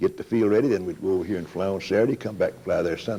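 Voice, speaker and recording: A man talks at a very fast pace. His voice is fairly low, with a dark, mellow tone. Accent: East Tennessee. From Tennessee, Campbell County. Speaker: aviation pioneer, veteran pilot. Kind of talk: interview answer.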